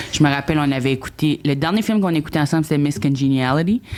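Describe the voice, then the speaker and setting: A woman speaks with an Acadian accent. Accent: Acadian French accent, kept. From New Brunswick, Acadian. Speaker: comedian, reality TV contestant. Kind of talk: podcast interview. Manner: halting.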